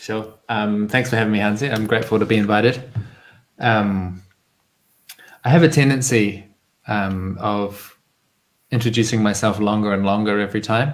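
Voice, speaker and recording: Speaking in a New Zealand accent at a moderate pace, this voice has fairly even intonation and long, frequent pauses. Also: man, fairly low pitch for a man. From New Zealand, rural. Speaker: community organizer. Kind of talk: interview. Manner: hesitant with many fillers.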